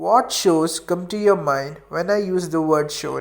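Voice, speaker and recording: Music plays in the background as the speaker talks at a moderate pace with an Indian accent. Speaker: anime video essayist. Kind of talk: video essay narration.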